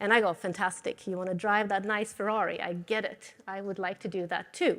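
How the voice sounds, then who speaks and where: A woman with a slight Swedish accent at a moderate pace, in a very clean recording with a silent background. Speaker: materials science professor. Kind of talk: lecture.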